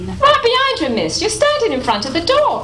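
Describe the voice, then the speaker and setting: A woman does a squeaky put-on character voice at an extremely high pitch and a moderate pace. Slight echo and clear background noise come through in the recording. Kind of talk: 1940s radio acting. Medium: stage play. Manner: deferential, folksy.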